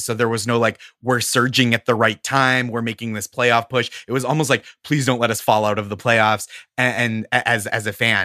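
A man speaks with an American accent in a bright, sharp tone. The sound is dry and close, with no echo. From Massachusetts, Boston area (Stoneham). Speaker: comedian. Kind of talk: casual chat.

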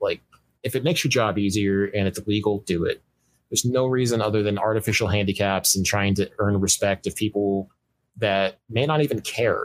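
Recorded very cleanly against a silent background, an unremarkable speaking voice moves at a fairly quick pace with very even loudness and ordinary pitch variation. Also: man, fairly low pitch for a man. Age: 30s. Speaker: 3D game artist. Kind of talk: casual interview.

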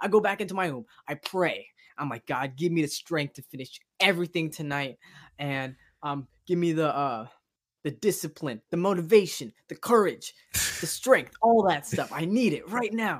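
At a moderate pace, the speaker uses an American accent in a very clean recording with a silent background. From Sacramento, California. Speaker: TikTok content creator. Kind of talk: casual chat. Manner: animated.

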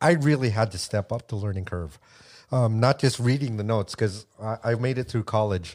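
A man's normal speaking voice with an American accent, medium pitch, ordinary pitch variation and a moderate pace, on a very clean recording with a silent background. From United States. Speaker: percussionist and radio DJ. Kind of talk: casual chat.

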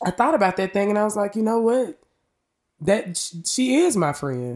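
The recording is very clean with a silent background as a woman speaks at a moderate pace in a Memphis accent. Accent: Southern US, Memphis. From US South, Memphis, Tennessee. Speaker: podcast host, realtor, singer-songwriter. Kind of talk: casual monologue. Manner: animated.

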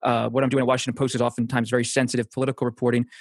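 An American accent comes through against a quiet background, in a dry, close sound with no echo. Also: man. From Pennsylvania. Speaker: political journalist. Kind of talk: interview.

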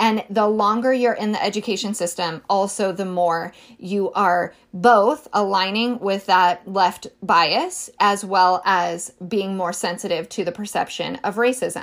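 An unremarkable speaking voice, a woman talks at a medium pitch and fairly slow pace with fairly even intonation in a very clean recording with a silent background. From rural Northern California. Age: 30s. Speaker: podcast host. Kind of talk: solo commentary podcast. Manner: conversational, with frequent self-corrections.

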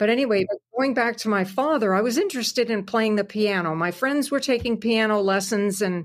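A woman with a slight Canadian accent talks at a moderate pace with ordinary pitch variation, on a very clean recording with a silent background. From Southwestern Ontario, Canada. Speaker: country singer and radio host. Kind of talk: interview.

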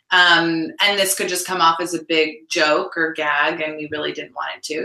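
Here a woman speaks in an ordinary speaking voice. Her pitch is fairly low and her pace fairly slow. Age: 30s. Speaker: actress and TV series creator. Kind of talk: interview.

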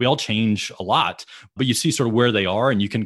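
Against a quiet background, a man with an ordinary speaking voice talks at a fairly quick pace, fairly low in pitch with ordinary pitch variation. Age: 40s. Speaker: sports executive. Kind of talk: casual interview.

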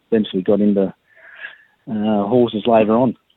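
With an Australian accent, this voice keeps a monotone, flat intonation throughout. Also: man. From Sydney, Australia (Balmain). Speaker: racehorse trainer. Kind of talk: interview. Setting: phone call.

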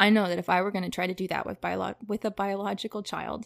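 A woman talks at a very fast pace, medium in pitch, with vocal fry. The recording is very clean with a silent background and a dry, close sound with no echo. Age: 20s. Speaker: podcast guest sharing personal story. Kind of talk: casual interview chat.

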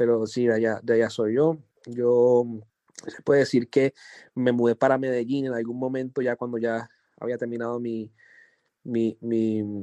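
The intonation is monotone and flat. The tone is dark and mellow. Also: man, dry, close sound with no echo. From Colombia, Chocó (Pacific coast). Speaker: music producer. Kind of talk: interview.

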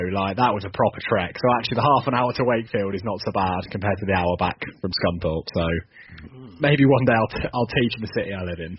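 Speaking with a southern English accent, a man talks very fast in a fairly low, somewhat breathy voice, with ordinary pitch variation and hardly any pauses. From southern England. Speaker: football fan guest. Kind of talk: casual chat.

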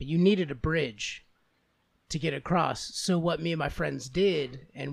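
A man speaks in a normal speaking voice at a fairly slow pace. His pitch is fairly high, with ordinary variation. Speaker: podcast co-host. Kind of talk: casual comedic banter. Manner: joking, laughs often.

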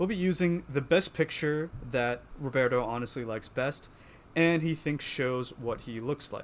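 A man with an American accent talks at a moderate pace with ordinary pitch variation. It is a plain, everyday voice. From Pennsylvania. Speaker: podcast co-host, journalist. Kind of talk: casual chat.

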